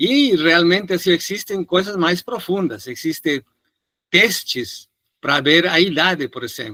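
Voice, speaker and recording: With a Spanish accent, a man speaks at a fairly slow pace in a high pitch, his bright, sharp tone and lively intonation captured in a dry, close sound with no echo. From Peru. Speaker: physician lecturer. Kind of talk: lecture Q&A answer.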